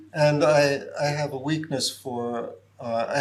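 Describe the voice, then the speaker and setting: A man's fairly even intonation carries audible room echo. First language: Japanese. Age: 70s. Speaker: professor. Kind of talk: lecture Q&A.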